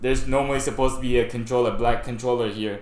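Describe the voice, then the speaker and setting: Noticeable background noise and audible room echo are both present in the recording. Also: man. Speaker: streamer. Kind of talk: casual live stream chat. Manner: stuttering, halting.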